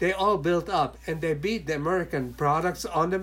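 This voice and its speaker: Hungarian accent from a man, moderate pace, ordinary pitch variation. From Hungary. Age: 80s+. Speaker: retired merchant mariner. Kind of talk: casual chat. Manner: halting, many fillers.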